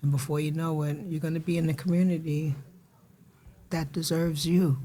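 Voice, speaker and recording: A woman's very deep, low voice, somewhat breathy and dark and mellow in tone, flat and monotone at a fairly quick pace. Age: 60s. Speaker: recovery support specialist and mental health advocate. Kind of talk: podcast interview.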